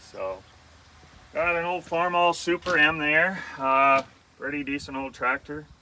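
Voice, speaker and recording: A man's ordinary speaking voice, fairly high-pitched, with ordinary pitch variation. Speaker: auctioneer giving an equipment walk-through. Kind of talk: casual talk while walking through equipment. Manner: conversational, filler words.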